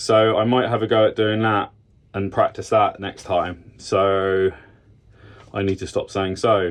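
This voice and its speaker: With a British accent, a man speaks at a fairly slow pace. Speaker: car hobbyist YouTuber. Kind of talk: DIY tutorial vlog. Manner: casual, many fillers.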